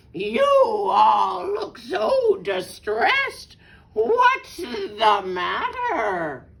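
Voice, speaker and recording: A woman shouts in a put-on character voice. She speaks at a very slow pace. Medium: read story. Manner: oily, ingratiating.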